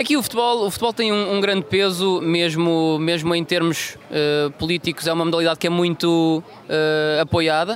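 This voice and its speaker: Amid noticeable background noise, a man talks at a high pitch with very even loudness. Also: ordinary pitch variation, moderate pace. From Madeira, Portugal (Funchal). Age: 20s. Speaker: football translator and aspiring coach. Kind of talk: interview.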